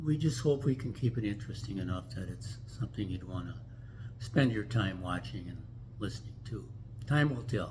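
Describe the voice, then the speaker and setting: With audible room echo, a man talks in an American accent at a moderate pace, his fairly low voice showing vocal fry and ordinary pitch variation. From US Midwest, Minneapolis. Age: 80s+. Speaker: vlogger. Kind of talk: casual chat. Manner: halting.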